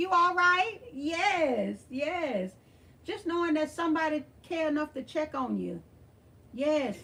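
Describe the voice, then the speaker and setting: Using a raised, projected voice, a woman with an American accent speaks at an extremely high pitch with lively intonation. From Texas (Beaumont). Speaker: thrift channel host. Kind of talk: livestream chat with viewers. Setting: livestream. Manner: animated.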